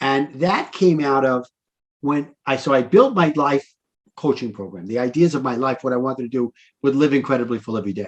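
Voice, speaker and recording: In a New York accent, a man speaks at a fairly quick pace. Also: medium pitch for a man, ordinary pitch variation. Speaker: life coach. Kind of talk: interview conversation.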